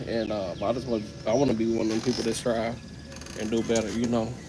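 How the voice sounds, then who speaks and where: Over noticeable background noise and audible room echo, a man talks at a very fast pace in a monotone, flat intonation. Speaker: livestreamer. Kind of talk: casual livestream talk. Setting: live stream.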